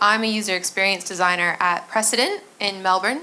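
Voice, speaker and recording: A woman's bright, sharp voice with an American accent, medium in pitch, at a moderate pace with fairly even intonation, amid audible room echo. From United States. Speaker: user experience designer. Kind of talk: conference talk.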